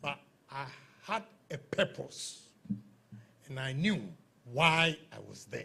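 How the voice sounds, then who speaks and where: Speaking at a very slow pace with long, frequent pauses, a man with a fairly high pitch uses a bright, sharp tone, lively intonation, vocal fry, and big swings in loudness. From Ghana. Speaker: politician and entrepreneur. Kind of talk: motivational talk.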